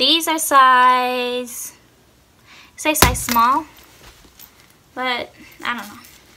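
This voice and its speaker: At a very slow pace with long, frequent pauses, a woman speaks at a high pitch with fairly even intonation and big swings in loudness over noticeable background noise. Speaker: YouTuber. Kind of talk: casual vlog chat. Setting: home, sitting on floor filming. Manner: casual, lazy, chatty. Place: home room. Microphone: phone near.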